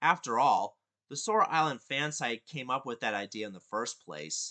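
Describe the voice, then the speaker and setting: Fairly high-pitched with vocal fry, a man speaks in a bright, sharp tone. His pace is moderate and the background is quiet. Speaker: YouTube reviewer. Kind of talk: casual review voiceover.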